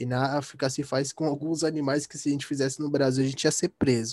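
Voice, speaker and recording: A man's pitch sits fairly high. The audio is dry and close, free of echo. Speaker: philosophy YouTuber. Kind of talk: casual chat. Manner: animated.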